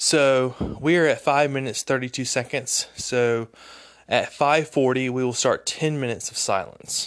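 A man speaks at a moderate pace with a fairly high pitch and fairly even intonation. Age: 30s. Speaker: podcast host. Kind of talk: solo podcast monologue. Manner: halting, with fillers and stumbles; rambling.

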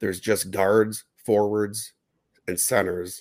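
This is a man speaking. His pitch is fairly low. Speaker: fantasy sports podcast host. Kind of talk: casual chat. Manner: talkative, conversational with filler words.

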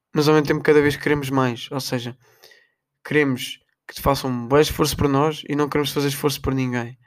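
A man's fairly high voice moves at a fairly quick pace with monotone, flat intonation. The recording is very clean, with a silent background. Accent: European Portuguese. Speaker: podcaster. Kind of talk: casual monologue.

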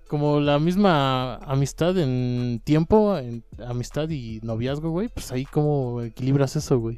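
In a very clean recording with a silent background, a man with a Mexican accent speaks at a fairly slow pace with hardly any pauses, his fairly high pitch carried by a dark, mellow tone. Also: ordinary pitch variation. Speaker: friend of the host. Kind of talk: casual chat.

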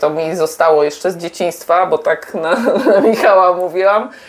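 Noticeable background noise fills the clip. A woman talks through it. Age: 50s. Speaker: podcast host, mother of the guest. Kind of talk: casual chat while cooking. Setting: home kitchen, cooking.

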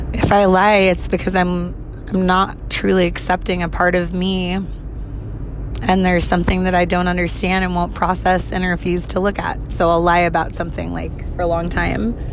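Over noticeable background noise, a woman speaks with audible room echo. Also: moderate pace. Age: 30s. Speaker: podcaster. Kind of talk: personal monologue.

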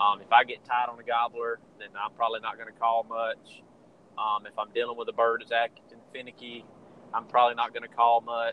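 A man with a Southern US accent talks at a fairly quick pace in a medium pitch. His intonation is monotone and flat, with big swings in loudness. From Georgia, US South. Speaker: turkey hunter and calling champion. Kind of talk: casual interview chat.

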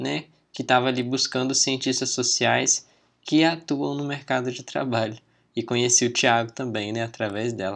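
A man with a normal speaking voice talks at a moderate pace and medium pitch, with ordinary pitch variation. The background is quiet. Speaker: podcast host, anthropology student. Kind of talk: podcast interview.

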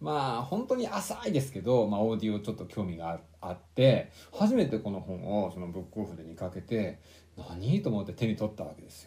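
A man with a fairly low pitch shows ordinary pitch variation and big swings in loudness. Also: fairly quick pace. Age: 40s. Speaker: book podcast co-host. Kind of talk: casual chat. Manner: hesitant, many fillers.

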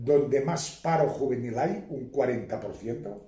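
At a very slow pace, a somewhat breathy voice with a dark, mellow tone carries audible room echo. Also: man. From Spain, Catalonia (Baix Empordà, Girona). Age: old. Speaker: court expert witness. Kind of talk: casual interview.

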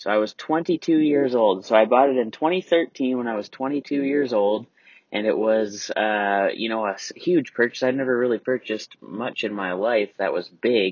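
Moderate pace, hardly any pauses, ordinary pitch variation, and a plain, everyday voice. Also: man, medium pitch for a man. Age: 20s. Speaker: podcast host. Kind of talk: solo monologue. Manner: casual, filler-heavy.

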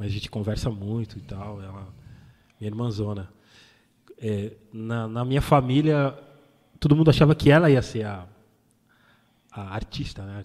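At a moderate pace, a man with a medium pitch and ordinary pitch variation speaks with long, frequent pauses and big swings in loudness. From São Paulo, east zone. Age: 40s. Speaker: DJ. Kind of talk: interview. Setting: studio.

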